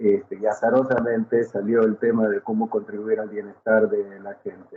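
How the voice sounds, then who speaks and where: A man with an Argentine accent at a moderate pace. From Argentina. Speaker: psychotherapy professor. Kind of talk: panel discussion.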